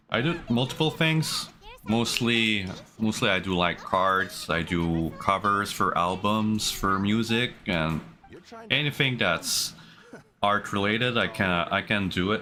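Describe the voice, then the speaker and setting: A man with a French accent, a fairly low pitch, lively intonation, very even loudness and a fairly slow pace, with music in the background. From Canada, New Brunswick. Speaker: streamer and artist. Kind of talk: casual live-stream chat. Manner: hesitant, many fillers.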